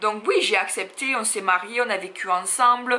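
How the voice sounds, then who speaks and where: A woman with a Marseille accent over noticeable background noise. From France, Marseille. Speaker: YouTuber, plus-size fashion blogger. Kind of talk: personal confession vlog. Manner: hesitant, many fillers.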